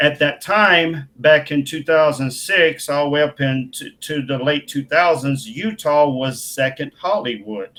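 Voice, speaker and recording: A man with a Southern accent, fairly high pitch and ordinary pitch variation, a bright, sharp tone, a fairly slow pace and hardly any pauses. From Mississippi, US South. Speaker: filmmaker. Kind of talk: interview. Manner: animated.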